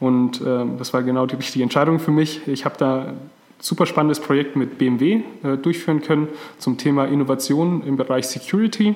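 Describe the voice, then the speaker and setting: The loudness stays very even while noticeable background noise runs underneath. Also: man, fairly high pitch for a man, ordinary pitch variation, moderate pace. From Franconia, Germany. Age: 30s. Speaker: podcast co-host, transformation consultant. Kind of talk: casual podcast introduction.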